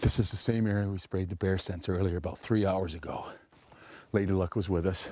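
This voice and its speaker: The speaker is a man. His whispering moves along at a fairly quick pace. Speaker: hunting show host. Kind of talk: hunting video narration. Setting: outdoors.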